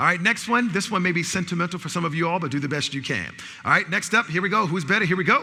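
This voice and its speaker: Very fast and raised, a man projects his high-pitched voice with an American accent, animated in tone and lively in intonation. Noticeable background noise runs underneath. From New York City. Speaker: speaker and bias trainer. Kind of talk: interactive lecture. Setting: stage with audience.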